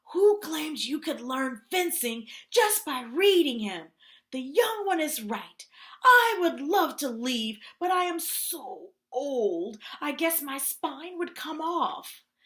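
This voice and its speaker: A put-on character voice pitched high drags along at a very slow pace. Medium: read story. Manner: authoritative.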